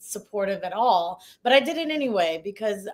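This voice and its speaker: With a Midwestern accent, a woman talks at a moderate pace. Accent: General American (Midwest). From Ohio, US Midwest. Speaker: investigative journalist. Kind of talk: interview. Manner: hesitant, many fillers.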